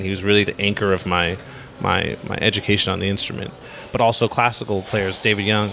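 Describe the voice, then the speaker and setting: An American-accented man, with noticeable noise in the background. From US West Coast (Los Angeles). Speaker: upright bass player. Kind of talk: casual interview. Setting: on location at a jazz festival.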